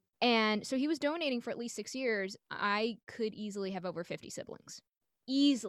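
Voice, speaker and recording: A woman's unremarkable speaking voice, fairly high, at a moderate pace with ordinary pitch variation. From New York City. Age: 30s. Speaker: stand-up comedian. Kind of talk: casual chat. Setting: video call.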